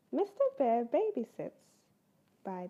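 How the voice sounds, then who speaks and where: Here a woman talks with a British accent in a dark, mellow tone. Her pitch swings very widely. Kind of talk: children's story read-aloud.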